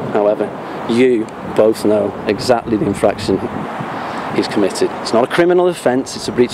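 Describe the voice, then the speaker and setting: Over noticeable background noise, a man talks at a very fast pace at a medium pitch with ordinary pitch variation. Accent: slight Liverpool. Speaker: police auditor, YouTuber. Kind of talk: confrontational street conversation with police. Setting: outdoors at police headquarters. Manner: formal, articulate.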